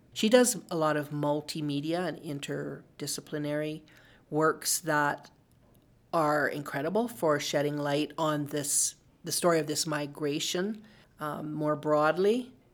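A woman with a western Canadian accent speaks at a fairly slow pace in a very deep, low pitch, with ordinary pitch variation. The recording is very clean, with a silent background. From western Canada, Calgary. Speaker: writer and filmmaker. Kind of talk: interview.

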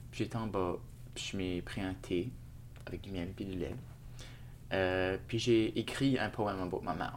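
A man with a very deep, low voice speaks at a fairly slow pace. His pitch varies in an ordinary way, and he takes long, frequent pauses. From Shediac, New Brunswick (Acadia). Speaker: multidisciplinary artist. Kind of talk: interview. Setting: hotel room.

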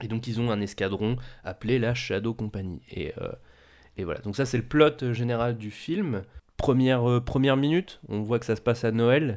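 The recording is very clean, the background silent. A man speaks in a plain, everyday voice with ordinary pitch variation. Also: medium pitch for a man, moderate pace. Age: 20s. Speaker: film podcast host. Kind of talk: casual chat.

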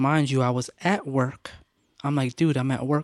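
A man with a plain, everyday voice speaks at a fairly high pitch and a moderate pace, in a dry, close sound with no echo on a very clean recording with a silent background. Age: 30s. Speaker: church drummer. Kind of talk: casual chat.

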